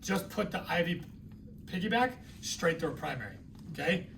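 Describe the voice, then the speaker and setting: A man with an American accent speaks at a fairly quick pace and high pitch, with ordinary pitch variation and audible room echo. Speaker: nursing instructor. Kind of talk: lecture. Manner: conversational.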